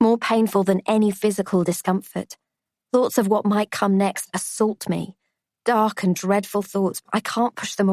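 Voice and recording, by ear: Against a quiet background, the passage is read aloud in a natural voice with fairly even intonation.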